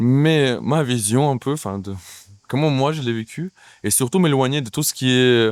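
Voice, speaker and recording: Medium in pitch, a man speaks at a fairly slow pace with ordinary pitch variation. The recording is very clean, with a silent background. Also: dry, close sound with no echo. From Ukraine. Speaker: actor and playwright. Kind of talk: interview. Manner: hesitant, many fillers.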